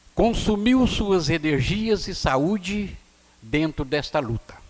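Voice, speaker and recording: A man talks at a very slow pace, his pitch moving through very wide swings. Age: 70s. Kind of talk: public address at city council session. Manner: formal.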